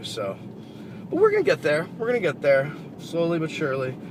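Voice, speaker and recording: Noticeable background noise and audible room echo accompany a man speaking at a fairly quick pace. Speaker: car reviewer. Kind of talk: casual vlog while driving. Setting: in a car. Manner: hesitant, many fillers.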